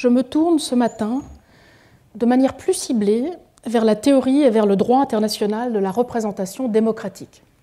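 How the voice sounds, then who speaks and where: Her voice is fairly high for a woman, with a dark, mellow tone. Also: ordinary pitch variation, moderate pace, very even loudness. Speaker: law professor. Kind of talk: lecture. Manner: formal.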